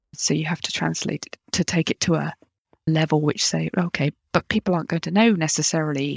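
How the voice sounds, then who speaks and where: In a very clean recording with a silent background, a woman speaks at a fairly quick pace. Her pitch is very deep and low, with vocal fry. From United Kingdom. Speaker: communications manager. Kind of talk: interview.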